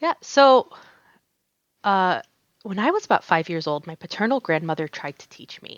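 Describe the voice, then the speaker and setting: At a moderate pace, a woman speaks at a medium pitch with very wide pitch swings, big swings in loudness, and long, frequent pauses. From US, North Carolina. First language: Arabic. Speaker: embroidery artist. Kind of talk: casual interview chat. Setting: podcast.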